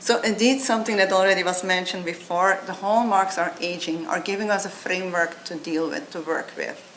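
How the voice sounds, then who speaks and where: Speech with a non-native accent runs at a fairly quick pace with hardly any pauses and ordinary pitch variation. Noticeable background noise and audible room echo fill the recording. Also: woman, medium pitch for a woman. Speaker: biotech company founder and CEO. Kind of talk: conference talk.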